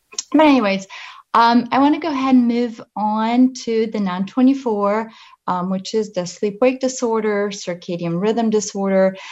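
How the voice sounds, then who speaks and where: A woman speaks at a fairly slow pace with a slight Polish accent. Her pitch is fairly high, with ordinary pitch variation, against a quiet background. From Poland. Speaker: pharmaceutical company representative. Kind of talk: presentation. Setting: video call.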